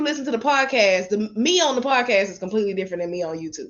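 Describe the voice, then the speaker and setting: A woman's voice in a Southern US accent, with lively intonation. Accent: Southern country. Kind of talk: casual, profane, relaxed.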